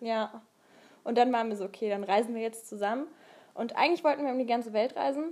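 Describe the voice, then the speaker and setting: A woman talks very fast at a fairly high pitch with ordinary pitch variation and long, frequent pauses. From Saxony, Dresden area. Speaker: podcast co-host. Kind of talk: casual chat. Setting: travelling abroad in Thessaloniki.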